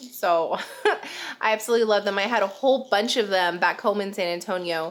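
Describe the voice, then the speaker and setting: Speaking at a medium pitch with ordinary pitch variation, a woman is heard over noticeable background noise. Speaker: vlogger, military wife and mom. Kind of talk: casual vlog talk to camera. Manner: chatty, filler words.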